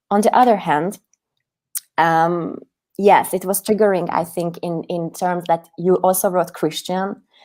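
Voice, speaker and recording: A fairly slow pace from a woman, her pitch medium. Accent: Hungarian. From Hungary. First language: Hungarian. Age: 30s. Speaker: activist. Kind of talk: interview. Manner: animated.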